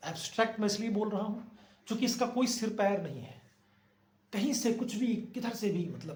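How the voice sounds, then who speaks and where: A man speaks with a high pitch. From Bihar, India. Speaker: actor and acting coach. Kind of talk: acting advice talk to camera.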